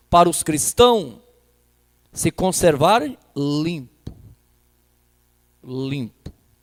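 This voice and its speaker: At a very slow pace, a man's voice moves through very wide pitch swings. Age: 60s. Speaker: pastor. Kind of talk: sermon.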